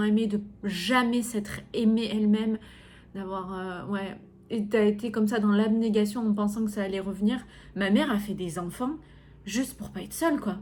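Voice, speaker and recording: There is audible room echo as a woman with a somewhat breathy, fairly high-pitched voice speaks at a moderate pace. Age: 30s. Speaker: podcast host and coach. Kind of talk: personal podcast monologue. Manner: hesitant, many fillers.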